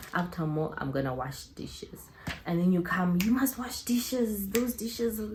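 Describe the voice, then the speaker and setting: A woman speaks over noticeable background noise. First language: not English. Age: 20s. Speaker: YouTuber. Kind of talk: casual vlog Q&A. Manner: animated.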